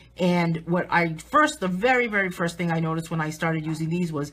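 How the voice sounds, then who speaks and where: A woman speaks with a New England accent at a moderate pace. Her voice has a fairly low pitch and a bright, sharp tone. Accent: New England accent, noticeable. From southern New England. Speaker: artist and coloring book author. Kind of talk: live stream tutorial, casual chat. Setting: live video stream.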